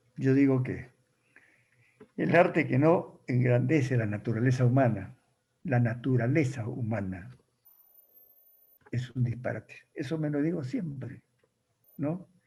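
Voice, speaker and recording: A somewhat breathy voice with a dark, mellow tone speaks at a fairly slow pace, with ordinary pitch variation. Long pauses come often. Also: man, medium pitch for a man. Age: 80s+. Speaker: writer. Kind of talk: talk with audience questions.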